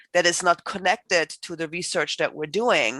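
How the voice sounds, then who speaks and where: A bright, sharp voice with a German accent comes through in a dry, close sound with no echo against a quiet background. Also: woman. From Germany. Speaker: professor. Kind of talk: panel introduction.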